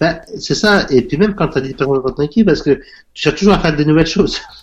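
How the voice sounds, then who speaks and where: At a very fast pace broken by long, frequent pauses, a man speaks at a fairly high pitch with ordinary pitch variation. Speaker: self-taught entrepreneur. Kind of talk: interview. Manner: halting, many fillers.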